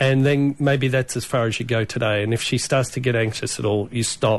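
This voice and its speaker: A plain, everyday voice from a man, with fairly even intonation at a moderate pace. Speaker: veterinarian. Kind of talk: casual chat.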